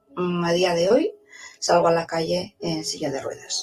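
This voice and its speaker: A woman speaking at a moderate pace, with music in the background. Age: 60s. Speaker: teacher, vaccine injury testimony. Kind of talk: testimony then reading aloud a statement.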